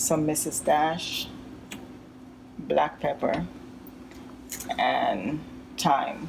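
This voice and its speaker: A woman speaks at a very slow pace with long, frequent pauses over noticeable background noise. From Jamaica. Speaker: home cooking vlogger. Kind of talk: cooking tutorial. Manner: casual, hesitant with frequent ums.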